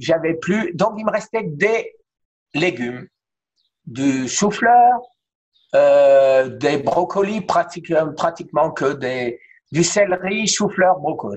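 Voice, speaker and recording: A man's voice, high in pitch. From France, Alsace (Strasbourg). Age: 60s. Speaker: cancer survivor sharing his story. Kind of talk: testimony in interview.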